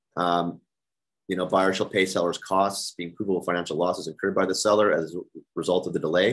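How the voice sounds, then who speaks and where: Very fast and monotone, the man's very deep, low voice keeps a flat intonation. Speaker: real estate broker leading agent training. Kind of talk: team meeting presentation.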